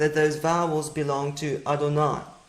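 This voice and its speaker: The speaker talks at a moderate pace with a South African accent. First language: Afrikaans. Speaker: Bible teacher. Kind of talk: lecture.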